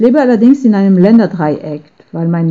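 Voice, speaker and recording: A woman talks in a French accent with ordinary pitch variation. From France. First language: French (speaking German). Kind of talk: testimony.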